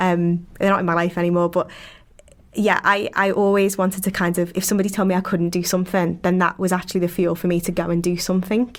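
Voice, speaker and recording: A woman with a Liverpool accent, medium pitch, at a fairly quick pace. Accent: Scouse. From Liverpool, England. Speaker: PhD researcher. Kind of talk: interview conversation. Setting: podcast recording.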